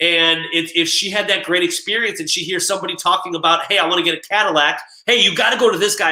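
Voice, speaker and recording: A man speaks in a raised, projected voice with a bright, sharp tone. His delivery is animated and very fast. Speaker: real estate coach. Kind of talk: casual video talk.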